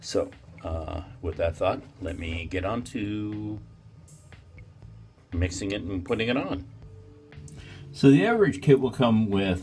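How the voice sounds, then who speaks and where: Music plays in the background as a man talks. He keeps a moderate pace. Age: 40s. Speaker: grooming vlogger. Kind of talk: casual talk to camera.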